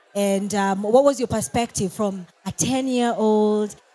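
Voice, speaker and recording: In a Kenyan accent, a woman with a fairly high voice speaks at a fairly slow pace. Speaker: show host. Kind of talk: casual interview.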